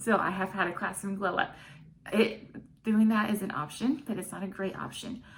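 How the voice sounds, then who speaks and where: Somewhat breathy and animated in tone, a woman with an American accent speaks at a medium pitch and moderate pace amid audible room echo. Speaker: online English teacher. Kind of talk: tutorial. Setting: home classroom set.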